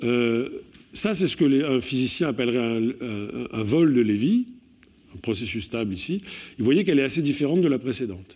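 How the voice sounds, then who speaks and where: A man at a moderate pace with lively intonation and long, frequent pauses, set against a quiet background. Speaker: mathematics professor. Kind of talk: lecture. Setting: stage with audience. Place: hall.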